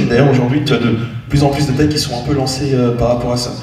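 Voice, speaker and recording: Fairly even in intonation, the man's voice comes with audible room echo and noticeable background noise. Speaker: cybersecurity panelist. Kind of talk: panel discussion. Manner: fast; hesitant, many fillers.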